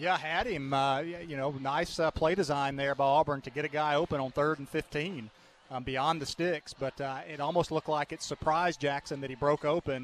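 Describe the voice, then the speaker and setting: This man has a Southern US accent and a fairly high pitch. His intonation is fairly even, and the sound is dry and close with no echo. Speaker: color commentator. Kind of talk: sports color analysis. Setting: stadium broadcast booth. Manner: conversational, filler-heavy, halting.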